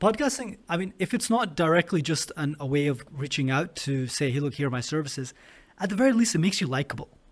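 A man with a Scottish accent, fairly high-pitched, very fast, with very wide pitch swings, on a very clean recording with a silent background. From Scotland. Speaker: podcast host. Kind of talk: interview.

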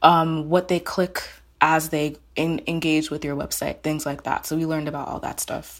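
A woman with an American accent speaks at a very deep, low pitch and a moderate pace. Her intonation is monotone and flat, on a very clean recording with a silent background. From Maryland, US (Silver Spring, first-generation Nigerian). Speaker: journalist and editor. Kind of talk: casual interview chat.

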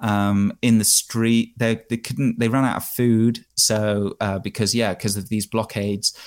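A man with an English accent talks at medium pitch and a fairly slow pace, with hardly any pauses. His intonation is monotone and flat, on a very clean recording with a silent background. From England, countryside small town. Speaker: bike tourer and podcast host. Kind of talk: interview. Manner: hesitant, many fillers.

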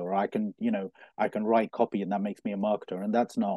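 Speaking very fast at a medium pitch, a man has a dark, mellow tone and ordinary pitch variation, the sound dry and close with no echo. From Coventry, England. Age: 40s. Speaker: LinkedIn trainer and marketer. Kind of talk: interview.

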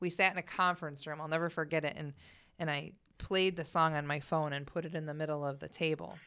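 A woman with an American accent speaks at a very fast pace with a very deep, low pitch. Her tone is bright and sharp, her intonation monotone and flat, on a very clean recording with a silent background. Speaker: singer. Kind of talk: casual chat. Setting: studio.

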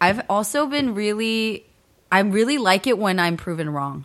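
A woman with a normal speaking voice, lively intonation and a fairly slow pace, on a very clean recording with a silent background. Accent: American. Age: 30s. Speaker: podcast co-host. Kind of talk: casual chat.

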